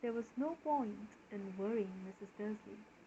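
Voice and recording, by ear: Someone reads aloud here. The voice is natural.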